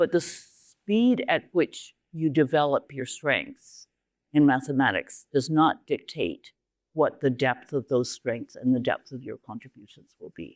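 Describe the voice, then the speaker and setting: A woman with a Canadian accent speaks at a fairly slow pace with very wide pitch swings. The sound is dry and close with no echo, a very clean recording with a silent background. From Canada. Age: 70s. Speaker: university leader and mathematician giving a talk. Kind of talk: lecture. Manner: animated.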